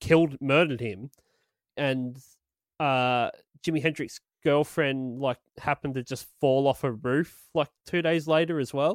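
Spoken at a fairly slow pace with an Australian accent, the voice comes through a very clean recording with a silent background and a dry, close sound with no echo. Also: man. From Australia, Illawarra region. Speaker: podcast host. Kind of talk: casual chat. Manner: animated.

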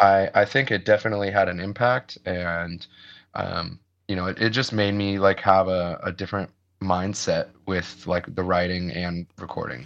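A man with a very deep, low pitch and an American accent, fairly even intonation, a moderate pace, and a quiet background. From US Midwest. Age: 30s. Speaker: metalcore band vocalist. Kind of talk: casual interview chat. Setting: video call.

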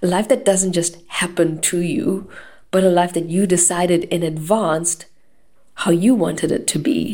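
A woman with a dark, mellow tone speaks in a fairly low pitch. Her pace is moderate, with ordinary pitch variation. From South Africa. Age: 30s. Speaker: podcast host. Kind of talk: solo podcast monologue.

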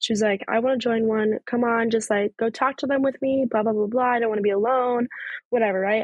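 A woman with an ordinary speaking voice talks at a fairly quick pace, her fairly high pitch varying in an ordinary way. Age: 20s. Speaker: podcast host, college student. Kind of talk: casual personal monologue. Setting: outdoors on a porch. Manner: casual, filler-heavy speech.

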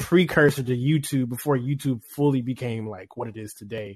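A man's unremarkable speaking voice with an American accent, medium in pitch, fairly even in intonation, at a moderate pace, with a dry, close sound and no echo. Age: 20s. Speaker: music producer. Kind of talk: interview.

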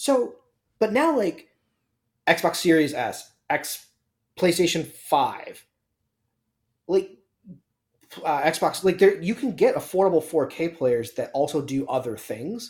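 Speaking at a very slow pace with long, frequent pauses, a man uses a high pitch that swings very widely. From Canada, Toronto area. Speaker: podcast co-host for news segment. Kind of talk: casual chat. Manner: animated.

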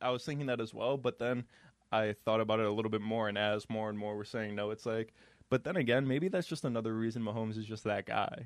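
Speaking very fast, a man uses a medium-pitched voice with ordinary pitch variation. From New York State. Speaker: podcast host. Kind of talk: casual interview. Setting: studio.

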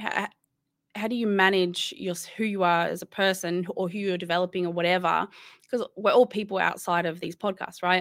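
A woman with an Australian accent talks at a fairly quick pace in a monotone, flat intonation. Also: medium pitch for a woman. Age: 30s. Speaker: gamer and podcast host. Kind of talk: casual interview. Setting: video call.

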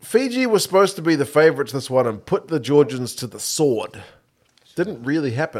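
In a New Zealand accent, the speaker talks at a fairly quick pace with lively intonation and big swings in loudness. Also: man, fairly high pitch for a man. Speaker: podcast co-host. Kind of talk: casual banter about rugby.

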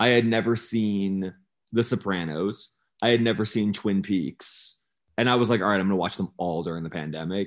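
Against a quiet background, a man speaks at a fairly low pitch. His pace is moderate and his pitch varies in an ordinary way. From Los Angeles. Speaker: music journalist and record label head. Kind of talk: casual interview chat. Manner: halting, many false starts.

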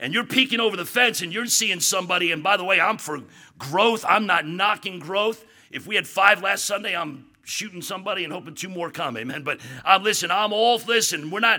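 A raised, projected voice with a bright, sharp tone at a fairly quick pace. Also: man. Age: 50s. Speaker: visiting preacher. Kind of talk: sermon. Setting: church. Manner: animated.

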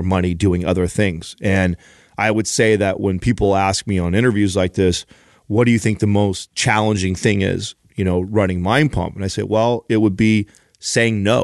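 A man speaks in a normal speaking voice at a fairly low pitch and moderate pace. The intonation is fairly even, and the sound is dry and close with no echo. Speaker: podcast co-host and gym industry manager. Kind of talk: casual interview conversation, storytelling.

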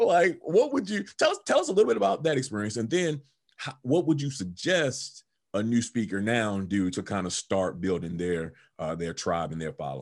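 A medium-pitched man with an American accent, moderate in pace, making very wide pitch swings over a quiet background. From Baltimore, US. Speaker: podcast host. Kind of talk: interview.

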